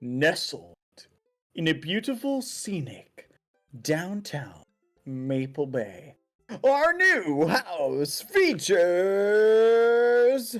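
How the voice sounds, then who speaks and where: A put-on character voice from a man, high-pitched and very slow, with very wide pitch swings. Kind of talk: sales pitch. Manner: cheesy, over-the-top, salesy.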